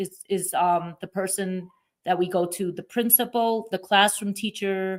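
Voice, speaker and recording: A woman speaks at a fairly slow pace with a Brooklyn accent. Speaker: podcast host. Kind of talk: interview. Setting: at a conference.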